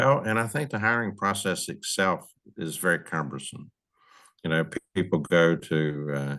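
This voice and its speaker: Against a quiet background, a man with a very deep, low pitch talks at a moderate pace with lively intonation and a bright, sharp tone. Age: 70s. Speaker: retired park service official, advocate. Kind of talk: podcast interview.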